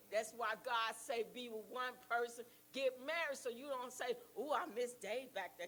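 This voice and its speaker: Amid noticeable background noise, a woman with a high-pitched voice speaks at a moderate pace with lively intonation. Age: 70s. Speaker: church member sharing testimony. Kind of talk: testimony.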